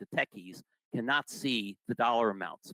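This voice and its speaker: With an ordinary speaking voice, a man speaks at a moderate pace with lively intonation in a dry, close sound with no echo. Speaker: retiree benefits presenter. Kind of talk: informational presentation.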